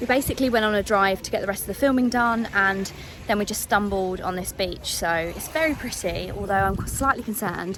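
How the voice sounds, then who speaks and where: Noticeable background noise behind a woman's medium-pitched voice, fairly quick in pace, with ordinary pitch variation. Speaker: travel vlogger. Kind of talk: travel vlog.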